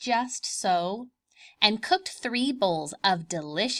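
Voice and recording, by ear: Lively intonation while reading aloud in a natural voice, over a quiet background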